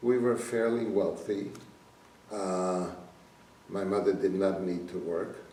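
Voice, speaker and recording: A man speaks at a very slow pace, with a fairly low pitch and ordinary pitch variation. Long, frequent pauses break up his speech, and audible room echo surrounds it. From Slovakia. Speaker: Holocaust survivor. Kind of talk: testimony.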